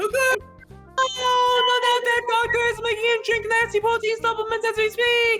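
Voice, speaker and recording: Clear music plays in the background. Over it comes a put-on character voice at a moderate pace. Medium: game stream. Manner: excitable, loud.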